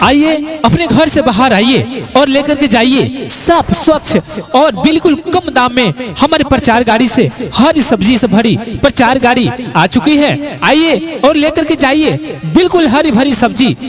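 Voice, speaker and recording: A man speaks with an extremely high pitch and an energetic tone, hardly pausing at all, his loudness very even. Noticeable background noise sits behind him. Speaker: announcer. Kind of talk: street advertising announcement. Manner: loud, energetic.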